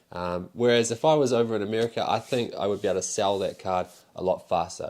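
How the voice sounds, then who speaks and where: At a very fast pace, a man talks with a New Zealand accent. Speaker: pokemon card seller and YouTuber. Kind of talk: casual vlog monologue. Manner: casual, rambling with fillers.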